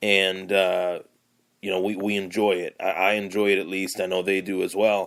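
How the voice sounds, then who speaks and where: The voice carries a Buffalo accent. Its intonation is monotone and flat. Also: man, fairly low pitch for a man, moderate pace. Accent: western New York (Buffalo area) American. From Lockport, western New York. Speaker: sports podcaster. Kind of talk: casual monologue. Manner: hesitant, many fillers.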